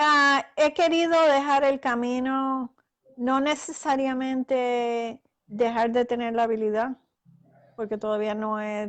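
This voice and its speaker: A woman speaks very slowly in a high voice with ordinary pitch variation. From Puerto Rico. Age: 60s. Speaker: author and astral projection practitioner. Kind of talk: interview. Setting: live video call broadcast.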